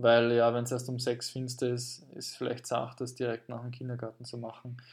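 This is a man speaking. His pitch is medium. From Austria, Carinthia. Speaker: podcast host, language teacher. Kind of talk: casual chat.

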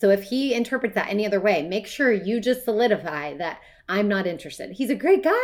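Talking at a very fast pace, a woman with a medium pitch uses lively intonation. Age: 40s. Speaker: life coach and podcast co-host. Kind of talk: casual chat.

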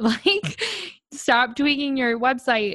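Against a quiet background, a woman sounds animated and enthusiastic, her pitch varying in an ordinary way, with a dry, close sound and no echo. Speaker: podcast host. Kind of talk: casual interview chat. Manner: animated, enthusiastic.

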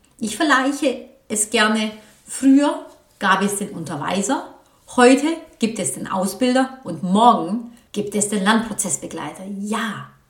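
Amid audible room echo, a woman talks at a fairly slow pace in a fairly high pitch, her intonation lively and her loudness swinging widely. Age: 40s. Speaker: vocational training coach. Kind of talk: solo podcast monologue.

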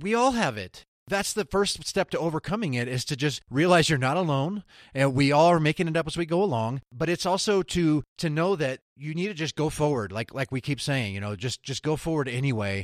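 With a plain, everyday voice, a man speaks at a fairly quick pace with a fairly high pitch and lively intonation, the sound dry and close with no echo on a very clean recording with a silent background. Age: 40s. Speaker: UX designer and podcaster. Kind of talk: casual interview conversation.

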